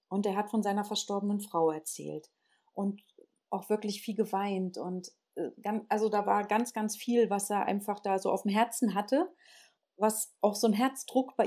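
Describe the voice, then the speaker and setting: Speaking at a moderate pace, a woman has a medium-pitched voice with a dark, mellow tone and fairly even intonation. The recording is very clean, with a silent background. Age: 50s. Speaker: alternative practitioner and spiritual teacher. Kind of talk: casual interview.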